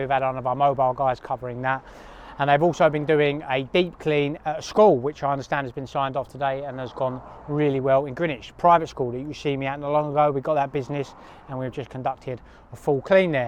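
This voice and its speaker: A man's fairly high voice in a southern English accent, at a very fast pace. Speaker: cleaning business owner and vlogger. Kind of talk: vlog to camera.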